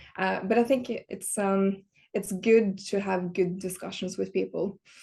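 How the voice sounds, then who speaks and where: A woman with a Norwegian accent speaks fairly slowly at a medium pitch, in a dark, mellow, somewhat breathy tone. Her intonation is monotone and flat, and the background is quiet. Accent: Norwegian accent, noticeable. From Norway. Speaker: industrial design director. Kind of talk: podcast interview. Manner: hesitant, many fillers.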